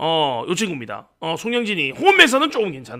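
A man speaks in a raised, projected voice with very wide pitch swings. His tone is bright and sharp. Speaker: sports betting tipster streamer. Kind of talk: casual betting-tips livestream.

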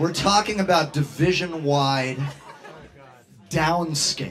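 A very slow pace over faint music in the background. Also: man. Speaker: host. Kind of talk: comedic stage banter. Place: bar.

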